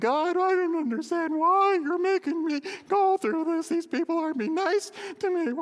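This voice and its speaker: Over light background noise, a put-on character voice whines at an extremely high pitch and a moderate pace. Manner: whiny, complaining.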